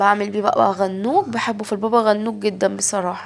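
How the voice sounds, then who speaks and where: A woman speaks at a medium pitch with an Egyptian accent. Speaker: home vlogger. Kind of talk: casual vlog narration. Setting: home kitchen.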